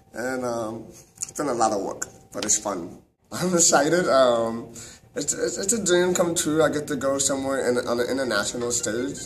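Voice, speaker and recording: A man in an American accent talks at a moderate pace with ordinary pitch variation. Music plays in the background, and audible room echo fills the space. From Texas, Houston. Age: 20s. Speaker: taekwondo athlete and instructor. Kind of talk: personal testimony. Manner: halting, many fillers and repetitions.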